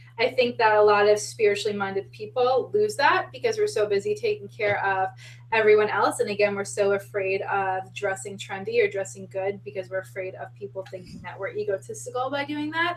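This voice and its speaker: A woman with an American accent talks at a fairly quick pace with hardly any pauses. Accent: Long Island, comes out heavy at times. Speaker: spiritual podcast co-host. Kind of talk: casual chat.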